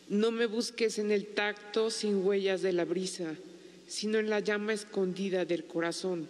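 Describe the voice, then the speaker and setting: Over noticeable background noise, a woman speaks at a medium pitch with very even loudness and fairly even intonation. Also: fairly slow pace. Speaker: widow and writer. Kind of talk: poet reading aloud, solemn and intimate.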